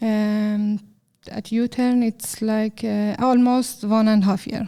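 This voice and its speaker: At a very slow pace, a woman talks in a fairly high pitch. Her tone is dark and mellow, and her intonation is monotone and flat. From Iran. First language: Persian. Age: 30s. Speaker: software developer. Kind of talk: interview. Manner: halting, many fillers.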